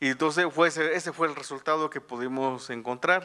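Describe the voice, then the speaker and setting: This man's tone is bright and sharp. He speaks at a moderate pace. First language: Tu'un savi (Mixtec) (speaking Spanish). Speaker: journalist and author. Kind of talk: book presentation talk. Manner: halting, many fillers and restarts.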